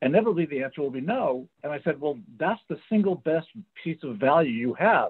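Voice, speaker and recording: Fairly quick and fairly high-pitched, a man talks in a plain, everyday voice. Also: lively intonation. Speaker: career coach. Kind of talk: panel discussion. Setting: video call.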